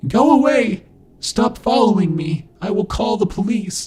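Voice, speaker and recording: Using a put-on character voice with a high pitch, a man speaks at a moderate pace with a slight echo. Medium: read story. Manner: frantic, shouting.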